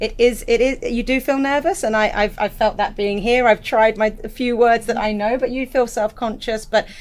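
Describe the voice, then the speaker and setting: In an English accent, a woman speaks at a fairly high pitch and moderate pace with fairly even intonation and hardly any pauses. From England. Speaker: school director. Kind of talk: podcast interview.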